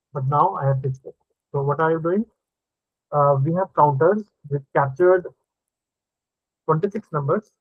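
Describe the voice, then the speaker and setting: Long, frequent pauses break up this man's speech. His voice sits at a fairly high pitch with ordinary variation. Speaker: programming teacher. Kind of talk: live online coding lesson. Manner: casual, thinking aloud; fast.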